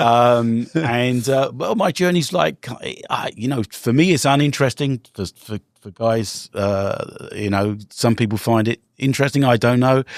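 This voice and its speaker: A man with a London accent speaks at a medium pitch. The sound is dry and close with no echo. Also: ordinary pitch variation, very clean recording, silent background. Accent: British (London), retained. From London, England. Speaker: real estate investor and entrepreneur. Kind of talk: podcast interview.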